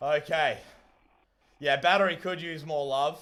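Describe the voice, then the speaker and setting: A loud man's voice comes through in a very clean recording with a silent background. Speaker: streamer and hobby robot builder. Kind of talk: live stream commentary. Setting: live stream. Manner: animated.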